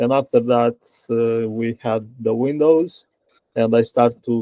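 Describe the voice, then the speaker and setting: A man speaks with a Romanian accent. His pitch sits in the medium range. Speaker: software engineer. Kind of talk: interview. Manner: halting.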